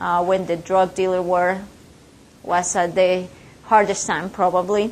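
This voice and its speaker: In a Spanish accent, a woman speaks at a moderate pace in a monotone, flat intonation, with audible room echo. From Colombia and Ecuador. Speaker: business owner and speaker. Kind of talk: guest lecture. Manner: halting, many fillers.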